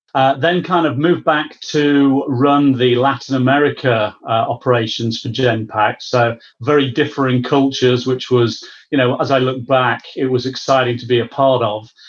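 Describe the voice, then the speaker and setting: In a British accent, a man with a medium pitch speaks at a moderate pace, with fairly even intonation and hardly any pauses. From UK. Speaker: business services executive. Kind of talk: interview.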